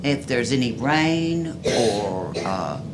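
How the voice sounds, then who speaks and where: A man at medium pitch amid noticeable background noise and audible room echo. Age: 70s. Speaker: resident speaking at public comment. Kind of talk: public comment. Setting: city commission meeting.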